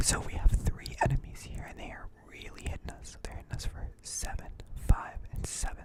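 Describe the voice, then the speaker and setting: Over noticeable background noise, someone whispers at a moderate pace. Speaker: ASMR gaming content creator. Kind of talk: quiet whispered gaming commentary for sleep. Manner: quiet, whispered, relaxing.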